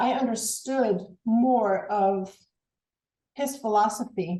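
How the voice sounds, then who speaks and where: Speaking in a slight German accent, a woman with a fairly high pitch and a dark, mellow tone shows ordinary pitch variation. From Germany. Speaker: former college track and field athlete. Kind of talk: interview. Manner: halting, repeats words.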